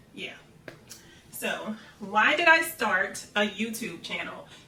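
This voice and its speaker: Audible room echo and noticeable background noise surround this recording. A woman speaks with very wide pitch swings. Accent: American. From US South, Central Florida. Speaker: nurse and content creator. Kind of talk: casual Q&A vlog.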